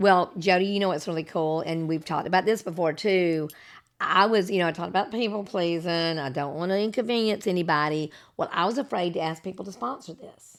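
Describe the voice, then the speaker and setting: Her voice is an ordinary speaking voice, fairly low in pitch, with ordinary pitch variation. The woman speaks at a fairly quick pace on a very clean recording with a silent background. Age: 60s. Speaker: podcast host. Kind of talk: casual chat.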